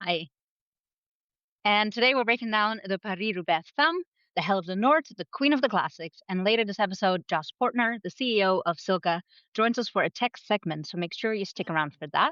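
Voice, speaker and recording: A woman speaks fairly quickly with a Dutch accent. Her medium-pitched voice has lively intonation. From Netherlands. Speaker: podcast co-host, cycling editor. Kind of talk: casual chat.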